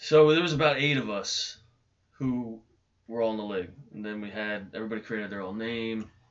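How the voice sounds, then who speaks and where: With an ordinary speaking voice, a man talks at a fairly quick pace in a medium pitch, showing ordinary pitch variation and big swings in loudness. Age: 30s. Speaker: former backyard wrestler. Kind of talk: casual chat.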